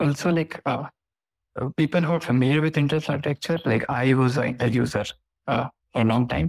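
A man speaks at a medium pitch with vocal fry, ordinary pitch variation and very even loudness. His pace is fairly quick with long, frequent pauses, on a very clean recording with a silent background. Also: dry, close sound with no echo. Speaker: AI enthusiast. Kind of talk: casual chat. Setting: live audio room.

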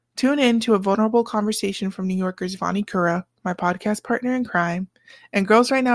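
In a dry, close, echo-free recording that is very clean with a silent background, a woman with an unremarkable speaking voice talks at a fairly quick pace, her medium pitch held in fairly even intonation. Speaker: podcast host. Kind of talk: scripted intro narration.

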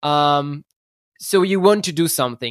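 In a very clean recording with a silent background and a dry, close sound with no echo, a man talks at a fairly high pitch. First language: not English. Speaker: startup founder. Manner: halting, searching for words.

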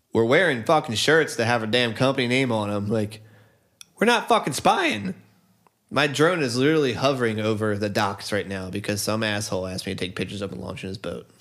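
A man's plain, everyday voice at medium pitch, with ordinary pitch variation and a fairly quick pace. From US Northeast. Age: 30s. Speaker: musician and friend of the host. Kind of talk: casual chat.

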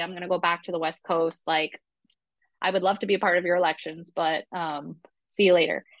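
A woman talks at a medium pitch with fairly even intonation. Hers is an unremarkable speaking voice. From Vermont, US. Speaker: rum brand representative, former bartender. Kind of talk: interview.

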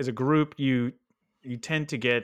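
A man with an American accent talks at a moderate pace in an unremarkable speaking voice with ordinary pitch variation. The recording is very clean, with a silent background. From Texas. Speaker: product manager, podcast co-host. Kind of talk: casual chat.

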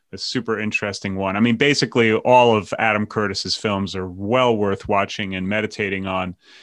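Fairly low in pitch, a man talks at a fairly quick pace with hardly any pauses and fairly even intonation. It is a normal speaking voice, set against a quiet background. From New York. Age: 50s. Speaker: podcast host. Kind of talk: casual chat.

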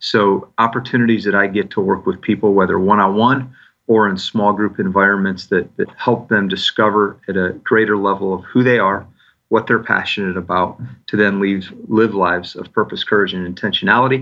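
A man with an American accent and a fairly low pitch talks at a fairly quick pace with fairly even intonation in a plain, everyday voice. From US Midwest, Michigan (north of Detroit). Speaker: executive and leadership coach. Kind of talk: interview conversation.

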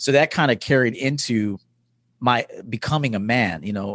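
With an American accent and an unremarkable speaking voice, a man talks at a moderate pace with ordinary pitch variation, his sound dry and close with no echo against a quiet background. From US inner city. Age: 40s. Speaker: life coach. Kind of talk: interview.

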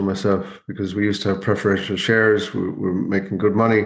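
A man with a western Irish accent talks at a very fast pace and a fairly low pitch. His intonation is monotone and flat, with audible room echo. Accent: Irish (west of Ireland). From Ireland, County Mayo. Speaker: investment educator, former salmon farming director. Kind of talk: interview conversation.

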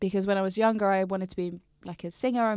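In a southern English accent, a woman speaks at a fairly quick pace with a medium pitch. Her intonation is flat and monotone, on a very clean recording with a silent background. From Brighton, southern England. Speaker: poet. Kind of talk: casual interview chat.

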